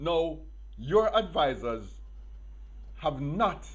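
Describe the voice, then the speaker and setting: A man is speaking. Room echo can be heard. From Jamaica. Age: 60s. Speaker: political commentator. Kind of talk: open address to a politician.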